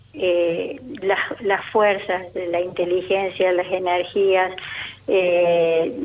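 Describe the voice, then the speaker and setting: A woman speaks at medium pitch over noticeable background noise. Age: 70s. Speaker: retired teacher and author. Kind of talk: radio interview. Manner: halting.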